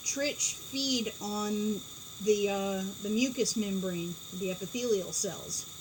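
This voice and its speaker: A woman is heard over noticeable background noise. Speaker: pigeon keeper. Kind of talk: casual chat. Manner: loud; animated.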